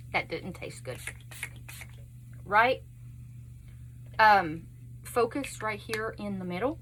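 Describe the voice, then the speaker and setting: Speaking at a very slow pace in a Texas accent, a woman takes long, frequent pauses and shows big swings in loudness. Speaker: beauty vlogger. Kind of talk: makeup tutorial chat. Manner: casual, chatty.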